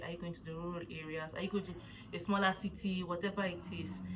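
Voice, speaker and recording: A woman with a Nigerian accent talks at a fairly quick pace in a medium pitch, with audible room echo around her. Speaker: vlogger. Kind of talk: casual vlog talk. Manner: fast; animated.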